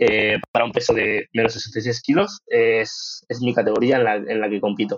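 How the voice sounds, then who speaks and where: A man talks with a medium pitch and ordinary pitch variation, keeping a moderate pace. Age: 20s. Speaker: powerlifting athlete. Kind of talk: casual interview. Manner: hesitant with fillers.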